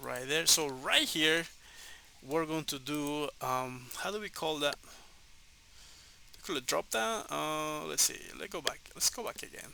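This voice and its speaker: A man with a Spanish accent, at a fairly slow pace with long, frequent pauses. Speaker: programming tutor. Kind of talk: tutorial. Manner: halting, many fillers.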